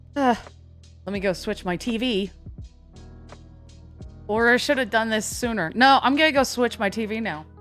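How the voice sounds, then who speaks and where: Music plays behind a woman speaking at a moderate pace with a fairly high pitch. Her pitch varies in an ordinary way, and she takes long, frequent pauses. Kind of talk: casual live stream talk. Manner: casual, offhand.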